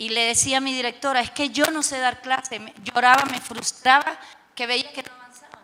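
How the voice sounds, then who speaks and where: The woman's voice sits at a high pitch. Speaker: teacher and teacher trainer. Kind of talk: panel discussion.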